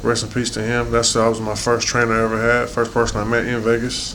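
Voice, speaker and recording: With audible room echo and noticeable background noise, a man talks at a very fast pace and a medium pitch. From South Central Los Angeles, US. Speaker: professional boxer. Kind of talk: interview. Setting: in-person interview in the UK. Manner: casual, conversational.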